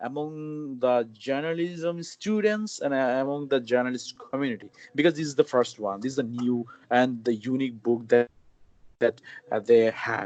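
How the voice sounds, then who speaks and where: A man speaks with a Bangladeshi accent at a fairly slow pace. His pitch sits in the middle range with ordinary variation. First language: Bengali. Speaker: journalist and mobile journalism trainer. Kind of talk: interview. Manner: hesitant, many fillers.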